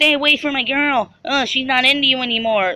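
A female-sounding voice performs a put-on character voice at a high pitch. The pace is fairly quick. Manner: put-on, confrontational.

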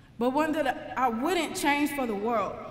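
Heard with audible room echo, the speaker has an American accent and ordinary pitch variation. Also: woman. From St. Louis, Missouri, USA. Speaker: engineering graduate and former college basketball player. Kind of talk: commencement speech to graduates. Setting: live ceremony, speaking to an audience. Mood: earnest, reflective. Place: hall. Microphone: podium.

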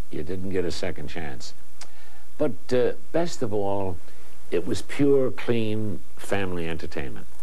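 This man has a very deep, low voice. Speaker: TV host introducing clips. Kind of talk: presenter introduction to camera. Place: studio.

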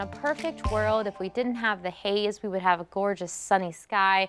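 Her tone upbeat, a woman speaks at a fairly quick pace with ordinary pitch variation. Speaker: TV meteorologist. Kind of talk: weather report. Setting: TV studio broadcast. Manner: conversational and upbeat, explanatory. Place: studio.

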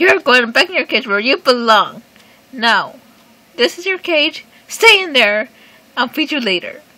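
In a cartoonish character voice that sounds female, the speaker pitches high and leaves long, frequent pauses. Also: moderate pace. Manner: menacing, bossy, shouting.

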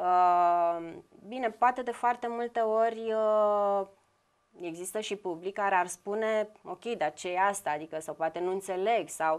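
A woman talks fairly slowly with ordinary pitch variation, and the background is quiet. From Brăila, Romania; Romania. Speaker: visual artist; guest. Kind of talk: TV interview. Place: studio.

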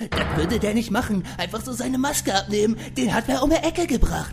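Over clear background music, a man with a high-pitched voice talks at a fairly quick pace. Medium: audio drama. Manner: excited, dramatic, blunt.

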